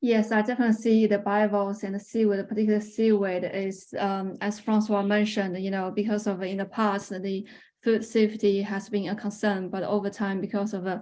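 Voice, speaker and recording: A woman speaks at a fairly quick pace with hardly any pauses, her medium pitch carrying a dark, mellow tone and monotone, flat intonation against a quiet background. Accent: Chinese. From China. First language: Chinese. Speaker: researcher. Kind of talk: webinar Q&A. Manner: halting, many fillers.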